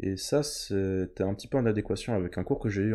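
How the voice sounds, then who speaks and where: A man speaks at a moderate pace with a fairly low pitch and ordinary pitch variation. His tone is dark and mellow, somewhat breathy. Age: young. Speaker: medical student. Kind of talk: casual chat.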